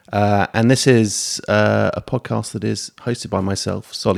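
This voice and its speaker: On a very clean recording with a silent background and a dry, close sound with no echo, a man with a British accent speaks at a fairly low pitch with ordinary pitch variation. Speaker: podcast co-host, property broker. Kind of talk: casual chat. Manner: hesitant, filler-heavy.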